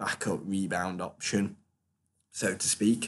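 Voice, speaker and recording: A man talks with a British accent. His pitch sits very deep and low. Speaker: sports podcast host. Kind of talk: solo podcast recap. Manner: hesitant, many fillers.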